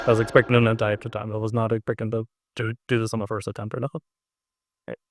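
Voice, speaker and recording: In a dry, close recording with no echo, a man speaks very fast in a medium pitch and a monotone, flat delivery. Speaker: gaming YouTuber. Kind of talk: let's play commentary. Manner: quiet, not loud; low-energy.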